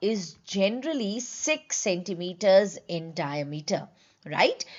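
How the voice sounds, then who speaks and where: Speaking very slowly with a strong Indian accent, a woman uses lively intonation. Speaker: medical exam teacher, gynaecologist. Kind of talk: online lecture. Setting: live online class.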